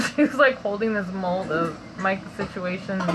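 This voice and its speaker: A woman whispers over noticeable background noise. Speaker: vlogger sharing dream interpretations. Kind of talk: casual monologue, dream testimony. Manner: casual, filler-heavy; whispering.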